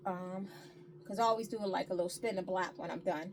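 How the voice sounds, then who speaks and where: The tone is animated. Noticeable background noise can be heard. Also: woman. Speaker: thrift reseller and upcycler. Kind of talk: casual haul video talk. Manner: fast.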